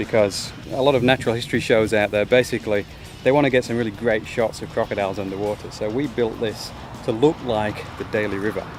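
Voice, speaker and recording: With music in the background, a man speaks very fast at a medium pitch with fairly even intonation. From northern England, West Yorkshire. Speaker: crocodile handler. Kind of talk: casual chat.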